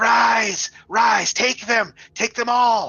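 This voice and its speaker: A man puts on a character voice pitched extremely high. It comes out raspy and guttural. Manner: commanding.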